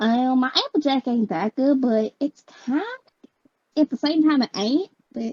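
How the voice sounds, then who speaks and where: A woman puts on a cartoonish character voice at a high pitch. She goes at a moderate pace with long, frequent pauses. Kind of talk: cartoon voice impression. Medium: game stream.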